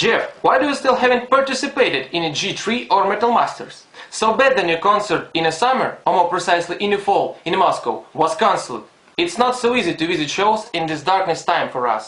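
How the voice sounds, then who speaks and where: Amid noticeable background noise, a man with a non-native accent talks fairly quickly at a high pitch with lively intonation. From Ukraine, Donetsk. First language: Russian or Ukrainian. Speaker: fan. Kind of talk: fan video message.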